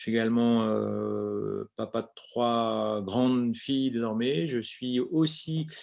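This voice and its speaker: A man speaks at a very slow pace. He leaves hardly any pauses. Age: 40s. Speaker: company founder. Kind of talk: webinar presentation.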